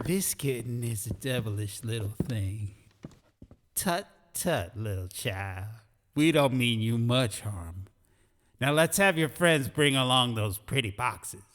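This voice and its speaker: Putting on a breathy character voice, a man at medium pitch talks at a fairly slow pace with lively intonation. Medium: read story. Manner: smooth, courtly, florid.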